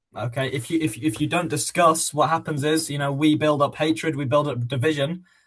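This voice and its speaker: With a British accent, the speaker talks at a fairly quick pace with fairly even intonation. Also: man. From England. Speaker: podcast co-host. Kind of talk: casual podcast discussion.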